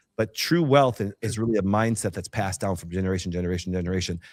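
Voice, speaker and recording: Animated in tone, a man talks at a very fast pace with ordinary pitch variation. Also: very clean recording, silent background. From northern Wisconsin. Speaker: chiropractor and healthcare entrepreneur. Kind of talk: interview.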